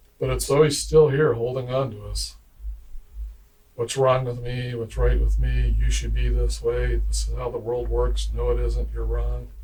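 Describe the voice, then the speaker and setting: Audible room echo surrounds a man's voice. He speaks with an American accent at a moderate pace. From USA. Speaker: YouTube commentator. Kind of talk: casual monologue. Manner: halting.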